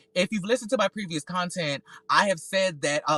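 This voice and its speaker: A man with an American accent talks at a fairly quick pace in a bright, sharp tone, with a dry, close sound with no echo. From US South (North Carolina, Georgia). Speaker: solo podcaster and reality TV commentator. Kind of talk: casual commentary livestream. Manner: loud; halting, repeats words.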